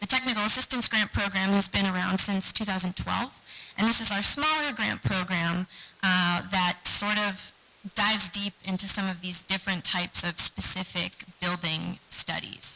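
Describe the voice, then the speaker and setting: A woman's medium-pitched voice with ordinary pitch variation at a moderate pace, against noticeable background noise. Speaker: historic preservation nonprofit staff presenting grants. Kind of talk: meeting presentation. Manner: soft-spoken.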